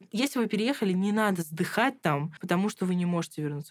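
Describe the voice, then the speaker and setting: This very clean recording, with a silent background, features a woman at a medium pitch. Her pitch varies in an ordinary way. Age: 20s. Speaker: master's student. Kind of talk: casual chat. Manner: animated.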